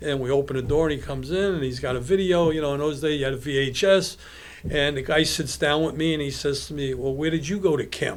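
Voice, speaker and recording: A man talks very fast in a Brooklyn accent, his pitch fairly high. There's audible echo in the room. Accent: New York (Brooklyn). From Brownsville, Brooklyn, New York. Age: 70s. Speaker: apparel businessman. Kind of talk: casual podcast interview. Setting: studio. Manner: animated storytelling.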